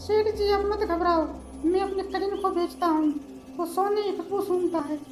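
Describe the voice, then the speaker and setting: Someone speaks at a moderate pace in a cartoonish character voice. Clear background noise and a slight echo are present. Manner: comic, scheming.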